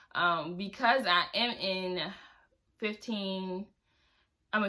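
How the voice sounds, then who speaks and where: Her tone bright and sharp, a woman talks at a medium pitch with fairly even intonation. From Baltimore, Maryland. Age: 20s. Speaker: personal finance vlogger. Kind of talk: casual vlog talk. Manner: fast.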